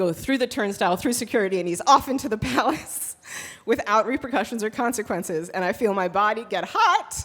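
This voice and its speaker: Speaking at a fairly quick pace with lively intonation, a woman with a fairly high pitch comes through noticeable background noise. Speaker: storyteller. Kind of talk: live storytelling performance. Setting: live stage with audience. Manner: casual, conversational.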